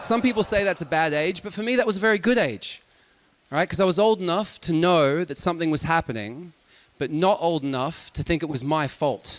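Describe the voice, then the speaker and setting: The man's voice is high-pitched, with lively intonation at a fairly quick pace. Noticeable background noise runs underneath. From Australia. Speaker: stand-up comedian. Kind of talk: stand-up. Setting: stage with audience.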